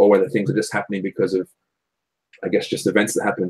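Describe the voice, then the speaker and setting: The sound of this man with an Australian accent is dry and close, with no echo. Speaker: songwriter and podcast co-host. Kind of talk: casual chat.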